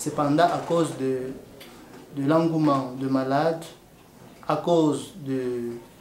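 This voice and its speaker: Amid noticeable background noise and audible room echo, a man with a fairly high pitch speaks in a monotone, flat intonation. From DR Congo. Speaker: nurse. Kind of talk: interview testimony. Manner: hesitant, with many fillers.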